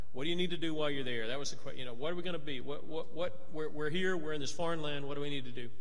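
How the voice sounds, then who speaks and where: A man speaks very fast in a fairly high pitch, his intonation fairly even. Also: hardly any pauses. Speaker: preacher. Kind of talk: church announcements and devotional. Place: church. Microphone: podium.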